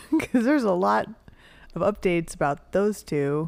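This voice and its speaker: An American accent comes through at a moderate pace. The intonation is lively. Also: woman. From California. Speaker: podcast host. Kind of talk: casual chat.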